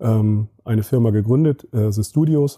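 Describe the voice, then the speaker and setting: A man's medium-pitched voice is somewhat breathy, with a dark, mellow tone. The sound is dry and close with no echo, over a very clean, silent background. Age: 30s. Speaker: agency managing director. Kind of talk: interview.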